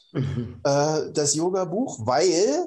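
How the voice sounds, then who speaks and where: This man has a fairly high pitch and a dark, mellow tone. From East Germany. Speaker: meditation teacher and former engineer. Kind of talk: interview.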